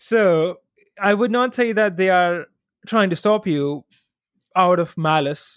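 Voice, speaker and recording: A man speaks in a high pitch at a very slow pace, with ordinary pitch variation and very even loudness. Long, frequent pauses mark a very clean recording with a silent background. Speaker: chartered accountant and online influencer. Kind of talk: casual interview chat. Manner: smooth, confident.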